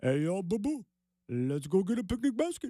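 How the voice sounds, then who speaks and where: A man's put-on character voice, high-pitched, with very wide pitch swings and a moderate pace. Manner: playful, cartoonish.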